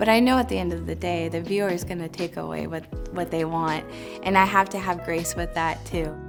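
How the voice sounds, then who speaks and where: With music in the background, a woman talks in a Pacific Northwest accent. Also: fairly quick pace. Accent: Pacific Northwest American English. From Tacoma, Washington. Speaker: visual artist. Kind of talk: interview answer. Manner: casual, reflective, with many fillers.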